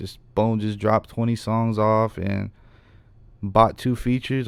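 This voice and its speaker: With an American accent, a man speaks in an unremarkable speaking voice at medium pitch and a moderate pace, his intonation fairly even. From Reno, Nevada. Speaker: hip hop artist. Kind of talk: casual chat.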